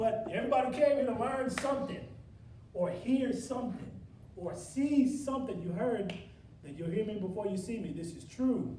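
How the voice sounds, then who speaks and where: A high-pitched man speaks at a moderate pace with lively intonation and big swings in loudness. Noticeable background noise and audible room echo surround his voice. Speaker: motivational speaker. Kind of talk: motivational speech to a workshop audience. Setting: stage with live audience. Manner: energetic, animated.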